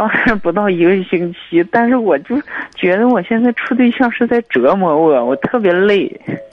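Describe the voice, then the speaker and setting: Noticeable background noise sits behind a man with a high voice and lively intonation. His loudness stays very even throughout. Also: moderate pace. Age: 20s. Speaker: dentist, caller. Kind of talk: phone-in call.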